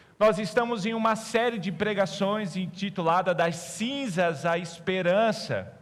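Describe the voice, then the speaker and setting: With audible room echo, a high-pitched man speaks at a fairly slow pace, with ordinary pitch variation and hardly any pauses. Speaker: pastor. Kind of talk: sermon. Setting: church.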